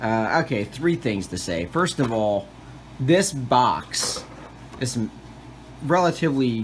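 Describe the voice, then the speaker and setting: A medium-pitched male voice with lively intonation, over noticeable background noise. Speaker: miniature wargaming reviewer. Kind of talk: product review. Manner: casual, many fillers.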